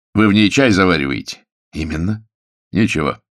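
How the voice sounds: In a natural reading voice with ordinary pitch variation, the speaker is heard against a quiet background.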